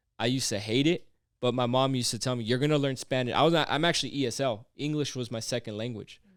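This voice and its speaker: In a very clean recording with a silent background, a man speaks at a medium pitch. He goes at a very fast pace with fairly even intonation. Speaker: podcast host. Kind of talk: casual chat.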